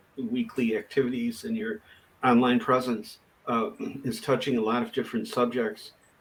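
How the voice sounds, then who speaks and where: A man's medium-pitched voice at a fairly slow pace. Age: 60s. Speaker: family member of host. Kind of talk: casual chat. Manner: halting.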